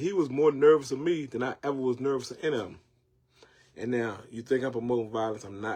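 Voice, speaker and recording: A man speaks at a medium pitch. He has a Southern US accent. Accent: Southern country twang. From North Carolina, Jacksonville. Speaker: online show host. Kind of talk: casual monologue. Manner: repetitive, stammering restarts; animated.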